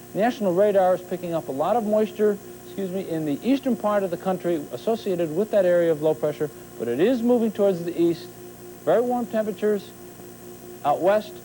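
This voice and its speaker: A man speaks very fast in a high voice with lively intonation. Music plays in the background. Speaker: TV weather forecaster. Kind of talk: TV weather forecast.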